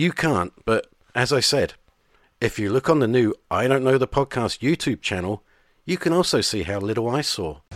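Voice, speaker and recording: In an ordinary speaking voice, a man at medium pitch talks at a moderate pace with lively intonation, the sound dry and close with no echo on a very clean recording with a silent background. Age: 50s. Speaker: podcast host. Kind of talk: scripted narration.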